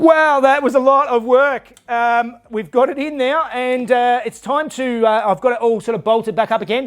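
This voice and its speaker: This man's pitch is extremely high, with ordinary variation. He keeps a moderate pace with hardly any pauses. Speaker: car restoration youtuber. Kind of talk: workshop build vlog. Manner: loud.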